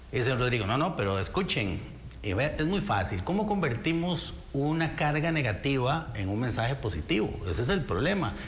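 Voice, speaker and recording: Speaking with a Costa Rican accent at a moderate pace, a man uses a medium pitch with very wide swings and very even loudness, amid noticeable background noise and audible room echo. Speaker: lawyer and former justice minister. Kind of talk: political interview.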